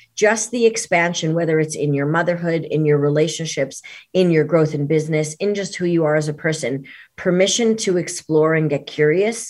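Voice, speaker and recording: Speaking at a fairly quick pace, a woman with a New York accent uses a very deep, low pitch and ordinary pitch variation. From New York City area. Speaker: performance coach. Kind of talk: interview. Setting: video call.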